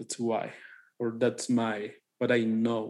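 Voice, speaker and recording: Very slowly, a man speaks with a Mexican accent. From Mexico. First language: Spanish. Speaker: podcast co-host. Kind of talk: casual chat.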